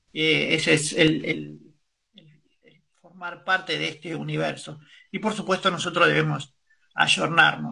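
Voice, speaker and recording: A man's fairly slow delivery with big swings in loudness. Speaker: radio host. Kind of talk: news reading.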